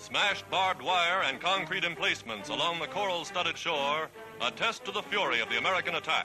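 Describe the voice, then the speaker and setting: Against music in the background, a man speaks fairly quickly at a high pitch, with lively intonation and very even loudness. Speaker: newsreel narrator. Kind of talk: wartime newsreel narration.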